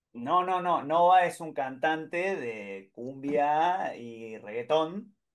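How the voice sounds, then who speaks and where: His pitch is fairly high, and the man's intonation is lively. He speaks at a very slow pace with big swings in loudness. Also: hardly any pauses, quiet background. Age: young. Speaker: audience member. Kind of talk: Q&A discussion.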